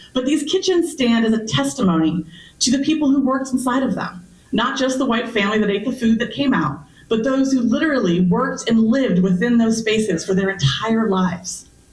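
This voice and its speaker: A woman with an American accent at a fairly quick pace and fairly high pitch, with very wide pitch swings, very even loudness and audible room echo. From US West Coast (Berkeley, California). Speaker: historian and archaeologist, author. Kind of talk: public lecture. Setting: library meeting room with audience.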